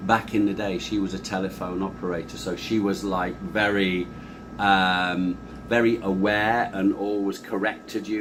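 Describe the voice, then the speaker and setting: At a moderate pace, a man with a South Yorkshire accent speaks in a fairly low pitch with monotone, flat intonation. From northern England, Doncaster. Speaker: sales trainer. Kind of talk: interview.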